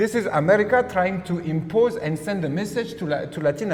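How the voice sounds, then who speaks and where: A man with a French accent talks at a high pitch and a fairly quick pace. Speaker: political researcher. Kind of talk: political discussion. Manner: halting.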